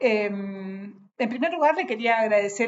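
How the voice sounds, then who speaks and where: A fairly high-pitched woman's voice at a fairly slow pace. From Argentina, Patagonia (Bariloche). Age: 60s. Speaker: writer. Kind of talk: casual talk to an audience. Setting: on a trip in a city. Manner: halting, many fillers.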